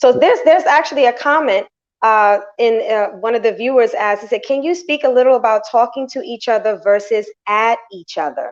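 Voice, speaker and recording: This woman talks loudly at a fairly quick pace. Her pitch is high. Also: ordinary pitch variation. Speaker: talk show host. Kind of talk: live interview chat.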